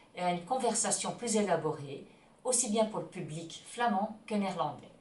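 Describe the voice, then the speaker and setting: A woman with a Dutch accent talks in a room with audible echo and noticeable background noise. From Belgium (Flemish). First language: Dutch (speaking French). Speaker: Dutch teacher and ski instructor. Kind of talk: self-introduction promo.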